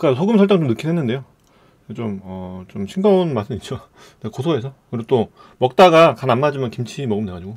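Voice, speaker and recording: A man's very fast delivery with very wide pitch swings and big swings in loudness. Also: quiet background. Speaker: streamer. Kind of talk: casual mukbang stream chat. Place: home room. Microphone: studio mic.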